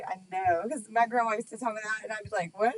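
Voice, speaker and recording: With a slight Texas accent, a woman talks at a fairly high pitch. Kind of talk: casual chat.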